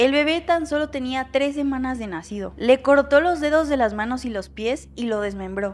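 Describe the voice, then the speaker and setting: A high-pitched woman talks with lively intonation. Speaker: true crime storyteller. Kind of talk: casual storytelling commentary. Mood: somber, concerned. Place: home room. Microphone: studio mic.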